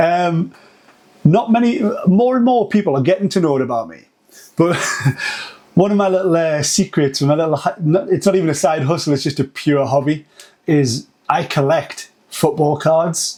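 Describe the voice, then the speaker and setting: Speaking in a Geordie accent with a dark, mellow tone and a high pitch, a man uses lively intonation at a moderate pace broken by long, frequent pauses. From northern England, Newcastle. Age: 40s. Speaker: agency founder. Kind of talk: podcast interview.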